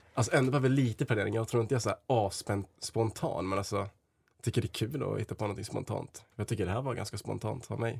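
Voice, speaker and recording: A somewhat breathy man at a very fast pace, on a very clean recording with a silent background. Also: medium pitch for a man, ordinary pitch variation. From Sweden, Dalarna (Leksand). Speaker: blind date contestant. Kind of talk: casual chat. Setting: studio. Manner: halting.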